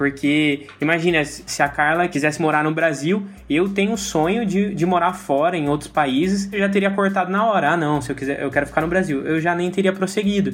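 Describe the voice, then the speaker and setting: Over noticeable background noise, a man with a high pitch talks at a fairly quick pace, with hardly any pauses and ordinary pitch variation. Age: 20s. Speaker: church lay leader. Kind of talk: casual chat. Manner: halting.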